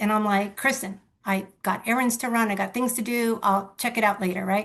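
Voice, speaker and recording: A woman's fairly even intonation at a moderate pace. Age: 60s. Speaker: real estate agent. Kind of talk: testimony.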